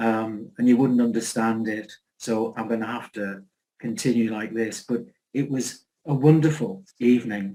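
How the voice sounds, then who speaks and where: A man's medium-pitched voice, dark and mellow in tone, at a moderate pace with fairly even intonation. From northern England, Newcastle area. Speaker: chair of society online talk session. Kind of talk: closing remarks.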